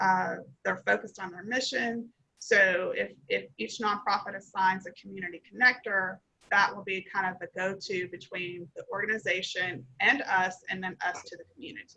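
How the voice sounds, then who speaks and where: A woman with a Kentucky accent speaks at medium pitch and a moderate pace, her bright, sharp tone touched with vocal fry and ordinary pitch variation. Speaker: nonprofit founder. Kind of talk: Q&A after pitch.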